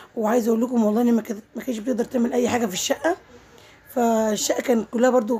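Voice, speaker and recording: Talking at a very fast pace in an Egyptian accent, a woman with a fairly high voice is heard over noticeable background noise. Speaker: vlogger. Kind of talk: casual vlog narration. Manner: halting, many fillers.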